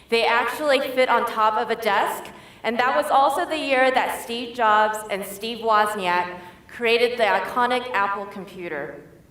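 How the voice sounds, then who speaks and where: With an American accent, a woman talks at a moderate pace in a fairly high pitch and ordinary pitch variation, amid noticeable background noise and audible room echo. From US Midwest, suburb of Detroit, Michigan. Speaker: tech education director. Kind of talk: keynote speech. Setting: stage with audience.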